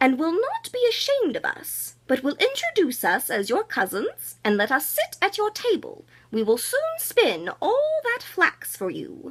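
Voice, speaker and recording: A woman puts on a character voice with an extremely high pitch. She keeps a moderate pace with hardly any pauses. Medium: read story. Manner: speaking as one, earnest.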